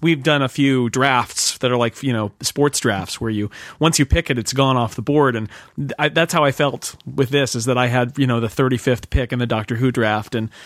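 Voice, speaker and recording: A man's normal speaking voice with an American accent, medium pitch, ordinary pitch variation and a fairly quick pace, in a dry, close sound with no echo. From United States. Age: 40s. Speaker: magazine editor and podcaster. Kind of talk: casual chat.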